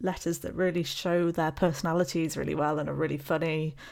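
On a very clean recording with a silent background, a woman with a British accent talks at a fairly quick pace in a fairly low pitch with fairly even intonation. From UK. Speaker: podcast co-host, PhD student. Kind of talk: casual chat, podcast discussion.

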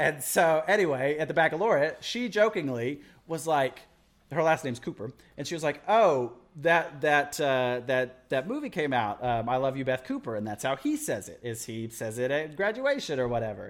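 This man has an unremarkable speaking voice with an American accent. His pitch sits fairly high for a man, and his intonation is lively. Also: moderate pace. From Texas Panhandle, US. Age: 20s. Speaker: video editor. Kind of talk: casual chat.

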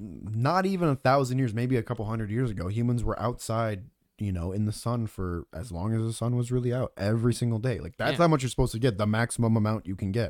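In a very clean recording with a silent background, a man talks at a fairly quick pace and a medium pitch with lively intonation. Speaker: podcast co-host and Twitch streamer. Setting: home streaming setup with a good microphone.

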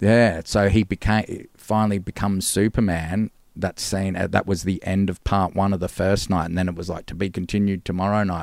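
A man's fairly low, monotone voice with flat intonation, at a fairly quick pace with hardly any pauses, in a dry, close sound with no echo and a very clean recording with a silent background. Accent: Australian. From Gold Coast, Australia. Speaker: musician. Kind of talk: casual chat.

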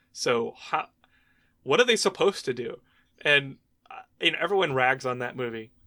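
A man at a moderate pace with long, frequent pauses, in a very clean recording over a silent background. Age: 30s. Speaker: podcast co-host. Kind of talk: casual chat. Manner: even-keeled.

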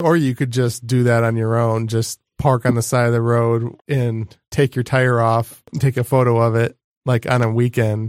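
A man speaks at a medium pitch in a monotone, flat delivery with very even loudness and hardly any pauses. The recording is very clean with a silent background and a dry, close sound with no echo. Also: moderate pace. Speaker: podcast host. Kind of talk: casual chat.

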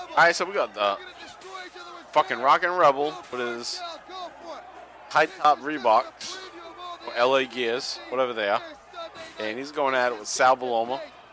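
An animated-toned man with long, frequent pauses, over noticeable background noise. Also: medium pitch for a man, ordinary pitch variation, moderate pace. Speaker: wrestling podcast host. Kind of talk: casual chat, watch-along podcast. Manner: animated, profane.

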